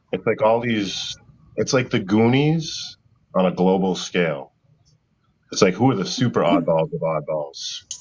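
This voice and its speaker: A man with a Massachusetts accent talks at a fairly slow pace in a fairly low pitch, his voice swinging very widely in pitch between long, frequent pauses. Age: 50s. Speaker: live show host. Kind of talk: casual chat.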